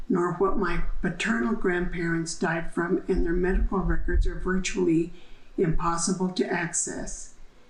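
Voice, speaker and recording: A woman talks at a moderate pace, and room echo can be heard around her. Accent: American. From New Mexico, US Southwest. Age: 70s. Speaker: downwinder testimony giver. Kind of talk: testimony. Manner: formal.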